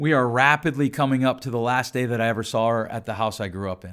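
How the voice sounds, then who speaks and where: Loud and animated, a man speaks at medium pitch with a bright, sharp tone in a very clean recording with a silent background. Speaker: podcast host. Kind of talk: solo podcast monologue.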